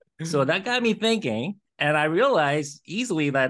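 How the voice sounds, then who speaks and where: A man speaks against a quiet background. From born in Korea, moved to Los Angeles around age eleven. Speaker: radiologist and entrepreneur. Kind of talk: interview.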